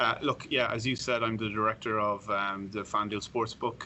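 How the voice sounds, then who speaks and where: A man talks at a fairly quick pace with an Irish accent. His voice is fairly low and his intonation monotone and flat. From Ireland. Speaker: sportsbook director. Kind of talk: podcast interview.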